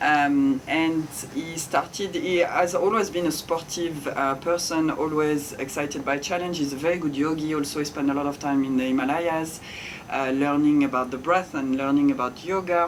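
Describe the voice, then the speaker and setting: A woman with a French accent speaks at a moderate pace in a very deep, low voice with fairly even intonation. Noticeable background noise and audible room echo come through. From France. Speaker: ice bath facilitator and yoga teacher. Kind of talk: interview conversation.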